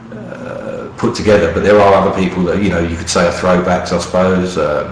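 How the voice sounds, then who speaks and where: A man's very deep, low voice at a fairly quick pace with fairly even intonation, plus audible room echo and noticeable background noise. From London, East End. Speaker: radio show host. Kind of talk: casual radio chat. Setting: radio show. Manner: halting, many fillers.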